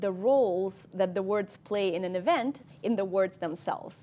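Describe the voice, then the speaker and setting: At a moderate pace, a woman with a Russian accent speaks in a very clean recording with a silent background. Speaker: cognitive scientist. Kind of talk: interview. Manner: hesitant, many ums.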